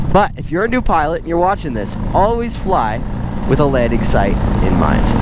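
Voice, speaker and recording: A man at a fairly quick pace over loud background noise. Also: dry sound with no echo. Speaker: paramotor pilot instructor. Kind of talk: tutorial. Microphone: headset.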